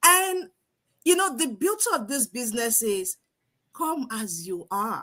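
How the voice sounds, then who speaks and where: With an African accent, a woman speaks in a high, bright, sharp voice and an animated tone, at a fairly slow pace with long, frequent pauses and very wide pitch swings. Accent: non-American African English. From Nigeria. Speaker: online business coach. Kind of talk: live stream talk.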